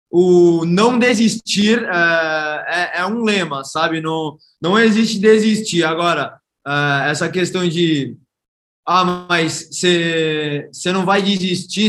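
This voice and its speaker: Here a man speaks at a high pitch and a very slow pace. His pitch shows ordinary variation. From Brazil, Santos (São Paulo state). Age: 20s. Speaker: startup founder. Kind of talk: interview.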